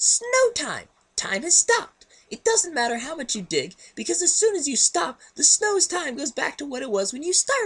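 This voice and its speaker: In a put-on character voice, the speaker squeaks at an extremely high pitch with very wide pitch swings and a moderate pace. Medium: read story. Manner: high-energy, emphatic.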